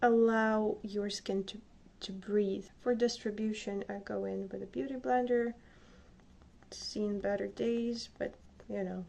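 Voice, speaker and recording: A woman speaks with a Slavic accent. Her pace is fairly slow. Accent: Slavic accent, non-native English. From Slavic country. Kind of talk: casual makeup tutorial talk to camera.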